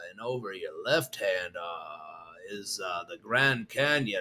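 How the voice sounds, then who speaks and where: Drawling in a put-on character voice, a man speaks at a medium pitch. His pace is fairly slow. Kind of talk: pilot announcement. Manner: slow drawl, hesitant with uhs.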